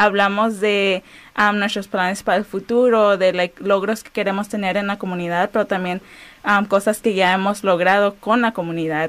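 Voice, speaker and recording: At a moderate pace, a woman speaks. Her intonation is monotone and flat. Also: medium pitch for a woman. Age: 20s. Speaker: community organizer and former educator. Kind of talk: radio interview.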